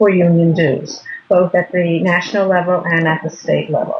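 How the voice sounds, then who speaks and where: A woman with an American accent speaks at a moderate pace in a fairly low pitch, with a plain, everyday voice. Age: 60s. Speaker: retired teacher. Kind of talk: interview.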